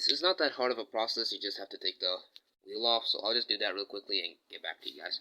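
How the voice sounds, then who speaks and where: A man with a non-native accent speaks at a very fast pace. The sound is dry and close, with no echo. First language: not English. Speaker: DIY video creator. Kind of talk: tutorial. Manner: casual, hesitant with fillers.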